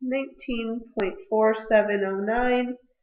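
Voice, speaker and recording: Fairly high in pitch, the woman uses an ordinary speaking voice with fairly even intonation. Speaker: math teacher. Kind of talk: tutorial.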